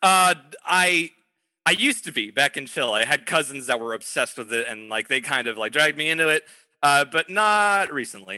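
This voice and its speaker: Over a quiet background, a man with a bright, sharp tone and fairly high pitch speaks at a fairly quick pace with very wide pitch swings, in a dry, close sound with no echo. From born in England to Chilean parents, raised abroad. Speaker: voice actor. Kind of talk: casual interview. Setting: remote call.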